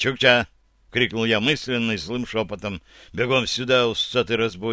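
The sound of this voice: An unforced voice reads the text.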